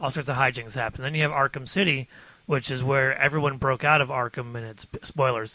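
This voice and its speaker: Talking at a fairly quick pace, a man with an American accent has an ordinary speaking voice, medium in pitch with fairly even intonation. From Detroit, US Midwest. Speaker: podcast guest.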